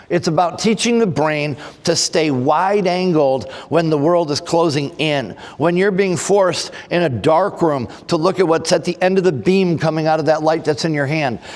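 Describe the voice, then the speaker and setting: A man with an American accent, high-pitched, at a moderate pace, with ordinary pitch variation, very even loudness and noticeable background noise. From Texas. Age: 60s. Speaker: forensic trainer, former firefighter. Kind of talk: conference presentation. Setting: conference stage with audience.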